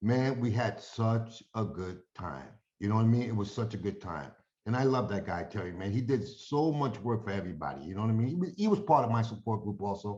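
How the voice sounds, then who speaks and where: A man with a New York accent talks at a fairly quick pace and a medium pitch, with lively intonation. His dark, mellow tone is somewhat breathy. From New York (Yonkers). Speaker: friend giving a eulogy. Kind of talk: memorial tribute. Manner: casual, halting.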